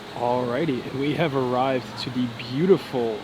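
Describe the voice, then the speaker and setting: With audible room echo and noticeable background noise, a man speaks in fairly even intonation. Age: 20s. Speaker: vlogger. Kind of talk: casual vlog narration. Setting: indoors at a resort lobby. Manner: loud; quieter.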